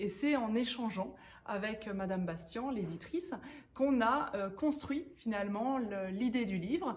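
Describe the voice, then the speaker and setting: Audible room echo surrounds a woman's fairly high voice with lively intonation. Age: 30s. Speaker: author and professional coach. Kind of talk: interview-style book presentation. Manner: hesitant, frequent filler words.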